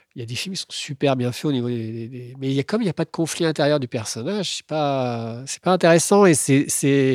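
A man with a plain, everyday voice and a fairly high pitch speaks at a fairly quick pace with hardly any pauses and ordinary pitch variation, in a very clean recording with a silent background and a dry, close sound with no echo. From France, Tours area. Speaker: screenwriter. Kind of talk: casual chat.

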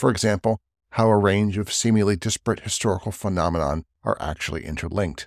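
A man talks at a very fast clip with a fairly low voice and some vocal fry. The recording is very clean with a silent background and a dry, close sound free of echo. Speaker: podcast host introducing another show. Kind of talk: spoken intro.

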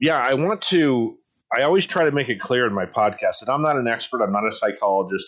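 In a plain, everyday voice with an American accent, the speaker moves at a fairly quick pace with lively intonation. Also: man. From San Diego, California. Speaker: podcast host. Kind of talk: casual chat.

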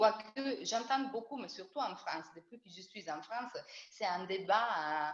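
Over noticeable background noise, a woman with an Italian accent speaks fairly slowly in a fairly high voice. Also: big swings in loudness. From Italy. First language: Italian (speaking French). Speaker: bassist and double bassist. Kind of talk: casual interview. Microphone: audio cutting out.

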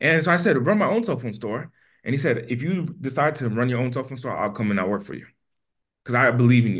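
Very fast and somewhat breathy, this voice with an American accent has an animated tone and lively intonation over a quiet background. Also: man, medium pitch for a man. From US East Coast. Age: 20s. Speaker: entrepreneur. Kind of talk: interview.

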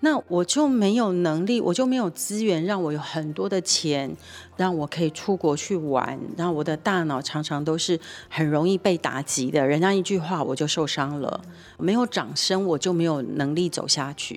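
This woman speaks at a moderate pace with a fairly low pitch, an animated tone and lively intonation. The recording is very clean, with a silent background. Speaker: nonprofit executive director and co-host. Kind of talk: casual radio chat about a TV drama.

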